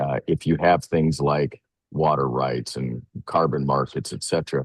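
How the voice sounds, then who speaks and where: A man talks at a moderate pace with vocal fry. His voice is very deep and low, and his intonation stays fairly even. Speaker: financial services CEO. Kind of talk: webinar presentation. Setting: remote call from a hotel. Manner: halting, many fillers and repeats.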